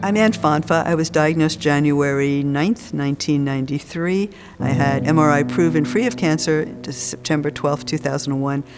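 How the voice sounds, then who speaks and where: The speech moves at a moderate pace with hardly any pauses and ordinary pitch variation. Music plays in the background. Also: woman, very deep, low pitch for a woman. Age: 70s. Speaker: cancer survivor and patient advocate. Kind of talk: testimony. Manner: conversational.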